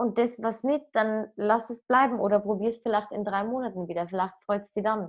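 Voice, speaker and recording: A woman talks at a fairly quick pace with fairly even intonation. Hers is an unremarkable speaking voice. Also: fairly high pitch for a woman. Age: 20s. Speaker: app startup employee. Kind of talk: casual chat.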